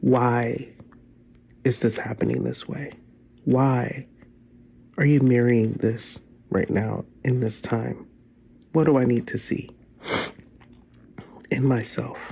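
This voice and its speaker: A man talks at a very slow pace, with long, frequent pauses and fairly even intonation. His voice sits at a medium pitch and has a dark, mellow tone. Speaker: vlogger sharing personal reflections. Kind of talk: casual personal vlog monologue. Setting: lying in bed. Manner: loud; halting, searching for words.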